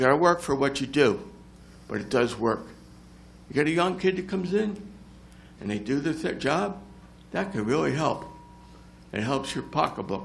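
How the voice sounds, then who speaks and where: A man with an American accent talks at a moderate pace and a fairly high pitch, with very wide pitch swings. Long, frequent pauses break up his speech, and audible room echo surrounds it. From New Jersey (South Jersey). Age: 70s. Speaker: retired volunteer firefighter and EMS veteran. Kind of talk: public comment at council meeting. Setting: council meeting room with audience.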